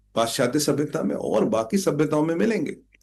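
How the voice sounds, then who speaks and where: In a normal speaking voice, a man with a fairly high pitch and lively intonation speaks over a quiet background. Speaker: spiritual commentator. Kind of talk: spiritual talk.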